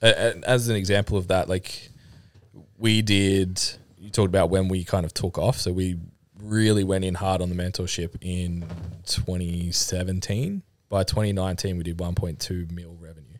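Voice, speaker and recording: A man's very deep, low voice with an Australian accent, flat and monotone, at a fairly slow pace on a very clean recording with a silent background. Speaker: personal trainer and fitness business owner. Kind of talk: casual chat.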